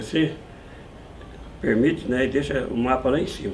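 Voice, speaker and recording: Speaking at a moderate pace with medium pitch and ordinary pitch variation, a man is heard with audible room echo. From Brazil, São Paulo interior (moved from Minas Gerais as baby). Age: 70s. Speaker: musician and music shop owner. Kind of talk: interview conversation.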